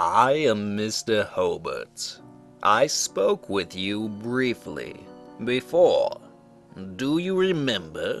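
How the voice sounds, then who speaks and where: Using a gruff, put-on character voice at a medium pitch, a man speaks at a very slow pace with clear music in the background. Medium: read story. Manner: gentle, formal, calling her "my dear".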